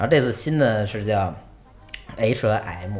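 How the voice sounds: With lively intonation and a slightly mellow tone, a man speaks at a moderate pace in a fairly low pitch.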